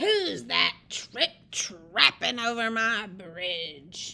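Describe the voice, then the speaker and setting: A woman bellows in a gruff put-on character voice at a very slow pace, pitched fairly high. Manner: roaring, gruff.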